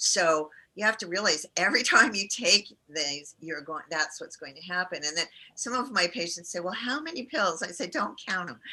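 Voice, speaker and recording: With an ordinary speaking voice at medium pitch, a woman speaks at a moderate pace with lively intonation and big swings in loudness. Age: 60s. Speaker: integrative cancer care doctor. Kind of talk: interview conversation. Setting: podcast interview.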